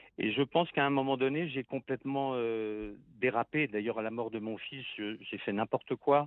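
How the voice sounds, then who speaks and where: In a normal speaking voice, a man goes fairly slowly, with ordinary pitch variation. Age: 60s. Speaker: author and composer. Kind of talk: radio interview. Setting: phone call.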